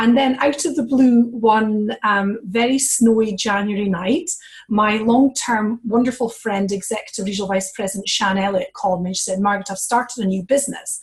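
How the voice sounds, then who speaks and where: Fairly high-pitched, somewhat breathy female voice, fairly quick with hardly any pauses and ordinary pitch variation. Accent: Scottish. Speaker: network marketing executive, former leadership coach. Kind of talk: testimony on a conference call.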